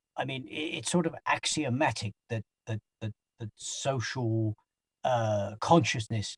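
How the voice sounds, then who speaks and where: The speaker talks at a very slow pace. The sound is dry and close with no echo, and the voice is somewhat breathy. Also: man. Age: 60s. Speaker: anti-poverty organizer. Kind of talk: interview. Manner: halting, many repeated words.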